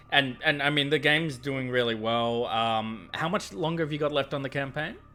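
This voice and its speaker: A man with an Australian accent, fairly high-pitched, with ordinary pitch variation at a fairly quick pace. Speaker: board game show host. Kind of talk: casual interview.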